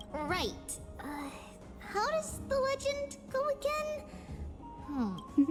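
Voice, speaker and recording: Over loud background music, a woman uses a put-on character voice at an extremely high pitch, speaking very slowly. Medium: game stream. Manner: lively, refers to self as 'we'.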